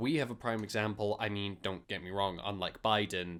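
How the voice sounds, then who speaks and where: In a very clean recording with a silent background, a man with a Scottish accent speaks fairly quickly at a fairly low pitch. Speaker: podcast co-host. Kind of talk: casual chat.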